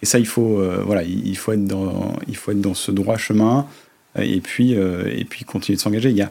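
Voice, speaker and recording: A man at a fairly slow pace, fairly low in pitch with ordinary pitch variation. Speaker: company director. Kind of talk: interview. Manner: hesitant with many fillers.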